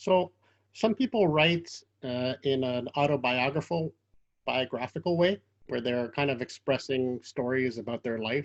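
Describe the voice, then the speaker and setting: With a Quebec accent, a man speaks at a fairly slow pace. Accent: Canadian English, Quebec. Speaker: interviewer. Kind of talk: interview.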